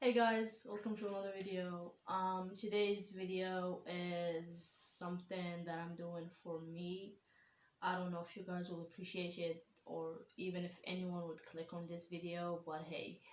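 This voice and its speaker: In a non-native accent, a woman speaks at a fairly slow pace with monotone, flat intonation and audible room echo. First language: not English. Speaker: anime reaction YouTuber. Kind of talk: casual vlog reaction. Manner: hesitant, many fillers.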